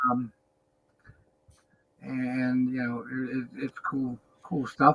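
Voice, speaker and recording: Speaking fairly slowly, a man uses a medium pitch and a bright, sharp tone. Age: 60s. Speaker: professional wrestler. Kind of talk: casual chat. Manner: halting.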